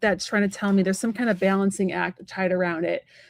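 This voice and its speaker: A woman's voice, dry and close with no echo, on a very clean recording with a silent background. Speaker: psychic medium and tarot reader. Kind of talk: live tarot reading, casual chat. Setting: live stream. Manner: fast.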